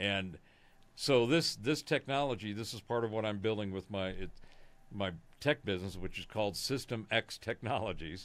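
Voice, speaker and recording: A man with an American accent talks at a moderate pace and a fairly low pitch, with ordinary pitch variation and a plain, everyday voice. The recording is very clean, the background silent. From Southern California. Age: 60s. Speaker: conspiracy analyst, musician. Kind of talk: casual interview.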